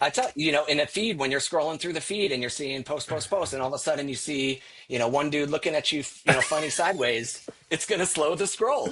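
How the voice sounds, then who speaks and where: A man speaks very fast in a fairly high pitch, with ordinary pitch variation. Music plays in the background. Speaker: marketing executive. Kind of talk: casual interview. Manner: animated.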